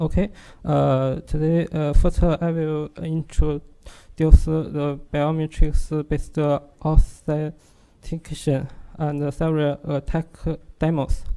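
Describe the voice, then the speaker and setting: The pace is very slow. The speaker has a strong Chinese accent. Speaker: security researcher. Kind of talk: technical presentation. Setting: workshop audience. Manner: halting, many fillers.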